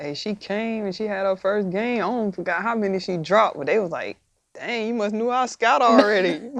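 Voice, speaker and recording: A woman with a Southern US accent talks at a fairly quick pace in a medium pitch with ordinary pitch variation. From US South, Georgia (Edison, rural). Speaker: basketball player. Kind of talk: casual chat.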